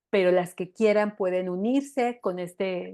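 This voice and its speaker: A woman speaks at a medium pitch with fairly even intonation over a quiet background. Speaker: women's empowerment coach. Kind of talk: online workshop talk. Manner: hesitant fillers.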